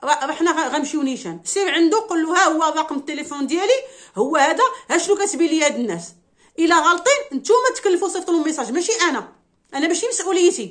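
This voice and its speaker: A woman speaks at an extremely high pitch with very wide pitch swings. She keeps a fairly quick pace, and the background is quiet. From Morocco. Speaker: YouTuber commenting on social news; commentator on Moroccan news. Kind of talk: casual monologue answering viewer questions. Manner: animated, emotional. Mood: indignant, complaining. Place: home room. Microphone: phone near.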